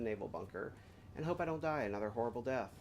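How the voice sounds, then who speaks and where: A man with an American accent speaks at a very fast pace, his medium-pitched voice carrying lively intonation. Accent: slight southern accent, kept under control. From US South. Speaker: gaming streamer. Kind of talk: casual gameplay chat. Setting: live stream.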